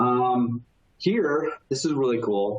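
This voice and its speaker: Ordinary pitch variation runs through this man's speech. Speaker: technology consultant presenting software demo. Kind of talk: webinar software demo. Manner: fast; casual with many fillers.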